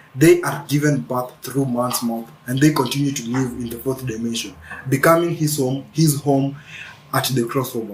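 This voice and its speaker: Over noticeable background noise, a man at medium pitch speaks at a moderate pace with fairly even intonation. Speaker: spiritual video creator. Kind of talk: spiritual monologue. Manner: halting, repeats words.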